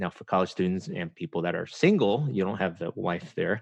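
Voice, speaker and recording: In an American accent, a man talks at a very deep, low pitch with lively intonation. The sound is dry and close, with no echo. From US, emigrated from Taiwan at age eight. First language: Chinese. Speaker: podcaster and writer on culture and faith. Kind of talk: podcast interview. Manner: halting, many fillers.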